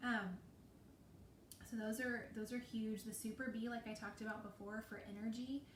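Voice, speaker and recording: A woman's fairly high, monotone, flat voice at a moderate pace, with long, frequent pauses and noticeable background noise. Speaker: essential oils distributor. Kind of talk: live sales talk.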